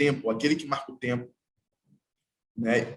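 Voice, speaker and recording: A man is speaking. His voice is somewhat breathy. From Brazil, Baixada Fluminense, Rio de Janeiro state. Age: 30s. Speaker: artwork installer and percussionist. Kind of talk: panel talk. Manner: halting.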